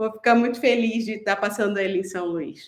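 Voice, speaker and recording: A woman speaks with a northern Brazilian accent. Her pitch varies in an ordinary way. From Pará, northern Brazil. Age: 40s. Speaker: film director. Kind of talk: panel discussion.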